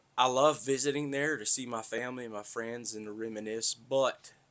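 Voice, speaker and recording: A man talks at a moderate pace in a bright, sharp tone, with ordinary pitch variation. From US South, north Florida (Tallahassee area). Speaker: podcaster, pipeline worker. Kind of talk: casual monologue.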